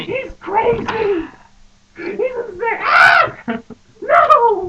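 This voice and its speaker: In a put-on character voice, someone shouts at an extremely high pitch and a very slow pace. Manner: panicked, shouting.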